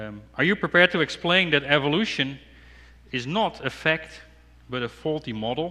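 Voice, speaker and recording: A man talks at a moderate pace with a Dutch accent and lively intonation. His fairly high pitch carries a bright, sharp tone. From Netherlands. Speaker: apologetics speaker. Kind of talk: sermon. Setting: church. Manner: halting.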